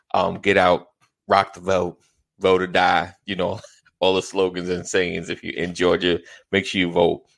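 Speaking with an American accent, a man talks at a moderate pace in a very deep, low, monotone, flat voice. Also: quiet background. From New York, Long Island (Roosevelt). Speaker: podcast host. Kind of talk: casual chat.

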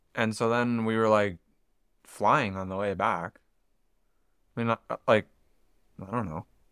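Pitched fairly low, a man speaks at a fairly slow pace with long, frequent pauses and fairly even intonation, in a dry, close sound with no echo. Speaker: podcast co-host. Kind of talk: casual chat.

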